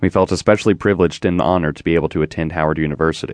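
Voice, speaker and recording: A man speaks at a very fast pace in a warm tone, the sound dry and close with no echo over a quiet background. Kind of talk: audiobook memoir narration. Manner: measured, reflective, warm; formal, steady.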